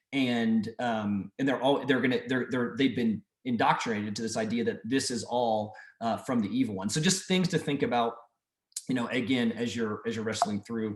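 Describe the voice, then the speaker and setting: Medium pitch from a man, with ordinary pitch variation. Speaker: mission trip leader. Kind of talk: group video call briefing. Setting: video call. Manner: fast.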